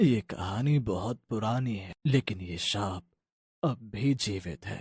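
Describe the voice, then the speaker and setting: A man's cartoonish character voice at fairly low pitch and a fairly slow pace, with ordinary pitch variation, on a very clean recording with a silent background. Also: big swings in loudness. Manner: grave, solemn.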